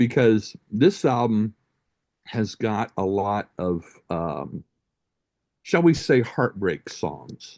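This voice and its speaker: A man's fairly low voice at a very slow pace, with very wide pitch swings, long and frequent pauses, a dry, close sound with no echo, and a quiet background. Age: 60s. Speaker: music podcast host. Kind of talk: casual chat. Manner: hesitant, with many fillers.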